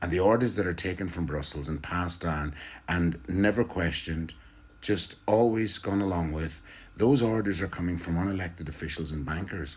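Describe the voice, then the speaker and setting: A man with an Irish accent, a very deep, low pitch, a somewhat breathy voice, ordinary pitch variation and a moderate pace. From Ireland. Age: 60s. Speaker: political commentator. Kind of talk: political monologue. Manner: animated.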